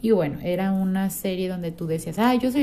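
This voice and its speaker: Talking at a fairly quick pace, a woman with a Mexican accent uses medium pitch, a dark, mellow tone and ordinary pitch variation. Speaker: podcast host. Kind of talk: casual monologue.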